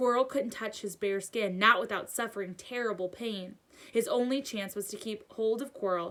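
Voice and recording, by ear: Ordinary pitch variation while reading aloud in a natural voice.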